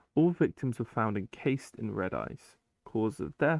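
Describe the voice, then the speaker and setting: A man's medium-pitched voice with a British accent. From Britain. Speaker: YouTuber reading SCP files with commentary. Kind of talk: reading aloud with casual commentary. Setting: gaming while recording. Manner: casual, with hesitations.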